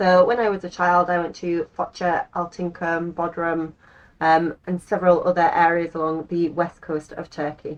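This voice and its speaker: The speaker has an English accent and talks at a moderate pace with monotone, flat intonation. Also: woman, fairly low pitch for a woman. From England. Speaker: lifestyle and language-learning vlogger. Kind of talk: casual vlog monologue.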